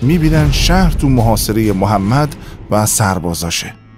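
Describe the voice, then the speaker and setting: Lively intonation from a man, with music in the background. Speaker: voice actor. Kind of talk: history documentary narration.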